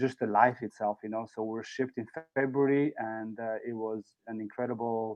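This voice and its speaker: A man speaks at a medium pitch with an Albanian accent. His intonation stays monotone and flat. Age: 40s. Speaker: former volleyball player. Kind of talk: speech.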